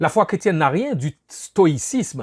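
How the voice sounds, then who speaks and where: In a Haitian accent, the voice makes very wide pitch swings in a very clean recording with a silent background and a dry, close sound with no echo. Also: man. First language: Haitian Creole (speaking French). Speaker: pastor. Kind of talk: sermon.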